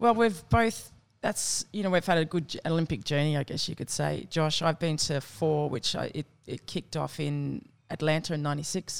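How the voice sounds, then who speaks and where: In an Australian accent, a woman with a very deep, low pitch speaks at a moderate pace with lively intonation, on a very clean recording with a silent background. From Australia, southwest Sydney (Campbelltown). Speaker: Olympic softball player. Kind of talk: casual chat.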